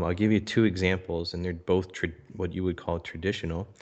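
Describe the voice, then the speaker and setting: Against a quiet background, a man with an American accent speaks in a very deep, low voice. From US, Philadelphia area. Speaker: social media marketing entrepreneur. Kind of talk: podcast interview.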